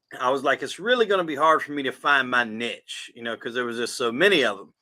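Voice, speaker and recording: A man talks with a Southern US accent. His pitch swings very widely. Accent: southern drawl. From South Carolina. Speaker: podcast host, guest. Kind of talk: casual interview chat.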